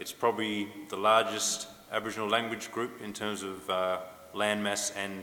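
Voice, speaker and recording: With an Australian accent, a man speaks at a fairly low pitch and a moderate pace. His intonation is monotone and flat, and there is noticeable background noise. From Western Australia, Noongar. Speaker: academic and musician, language revitalization.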